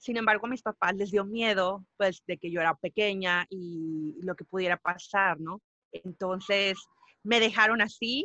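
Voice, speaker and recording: A woman with a Spanish accent speaks at a fairly slow pace in a bright, sharp tone, recorded with a dry, close sound and no echo. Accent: sounds somewhat Spanish (from Spain). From Mexico. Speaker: musician and podcaster. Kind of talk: interview.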